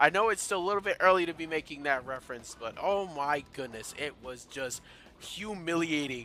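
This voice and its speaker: A man's fairly high voice, bright and sharp in tone, animated, with lively intonation at a moderate pace. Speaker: gaming YouTuber. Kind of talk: let's play commentary. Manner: stuttering, repetitive.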